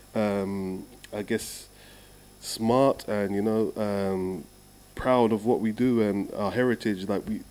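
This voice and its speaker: A man with a London accent, fairly low in pitch, very slow and fairly even in intonation. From London, England. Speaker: steel drum musician. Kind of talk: casual interview.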